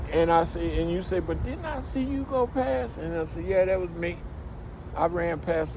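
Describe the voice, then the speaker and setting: A man speaks at a moderate pace with an American accent. Audible room echo and noticeable background noise surround him. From Detroit, Michigan, US. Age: 60s. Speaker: music industry veteran. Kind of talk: casual interview chat. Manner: animated.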